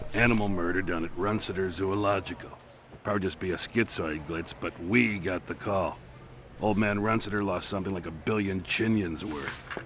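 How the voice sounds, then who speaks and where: A man does a gruff, put-on character voice with a very deep, low pitch, fairly even intonation and a moderate pace, over clear background noise. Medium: video game. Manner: blunt, gruff, sarcastic.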